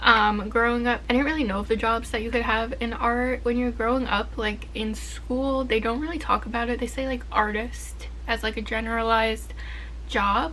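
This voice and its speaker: A woman's voice at a moderate pace with audible room echo. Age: 20s. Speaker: art student and vlogger. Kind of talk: casual vlog talk to camera.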